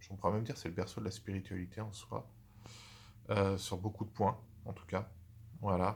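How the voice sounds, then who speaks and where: Talking at a fairly quick clip but with long, frequent pauses, a man uses a fairly low, somewhat breathy voice and fairly even intonation. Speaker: YouTuber. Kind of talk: casual channel introduction. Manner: fast; halting, stammering.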